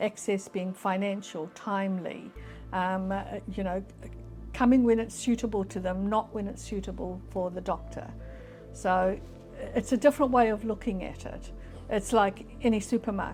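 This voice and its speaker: Music plays in the background as a woman speaks at a moderate pace. She leaves long, frequent pauses. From New Zealand, Auckland. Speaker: health services leader. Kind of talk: interview answer.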